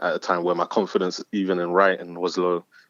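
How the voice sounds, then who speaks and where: A man speaks in a London accent with a very deep, low pitch and monotone, flat intonation. The sound is dry and close, with no echo. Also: quiet background. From South London. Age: 20s. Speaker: spoken word artist. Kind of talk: casual interview. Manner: hesitant, many fillers.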